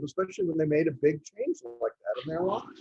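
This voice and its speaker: In a Texan accent, a high-pitched man with a dark, mellow tone speaks at a moderate pace, the sound dry and close with no echo. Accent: Texan American. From Texas. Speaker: club presentation speaker. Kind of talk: talk to a club.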